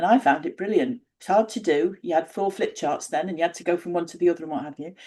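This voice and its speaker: Speaking at a very fast pace with big swings in loudness, a woman uses a fairly low pitch and a dark, mellow tone. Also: ordinary pitch variation. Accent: northern English. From northern England. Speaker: independent researcher. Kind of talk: interview conversation.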